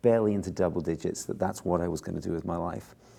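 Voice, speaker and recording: Very fast speech comes from a man with an English accent and a very deep, low pitch. His tone is dark and mellow, on a very clean recording with a silent background. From southern England, Bournemouth. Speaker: film composer. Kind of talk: interview.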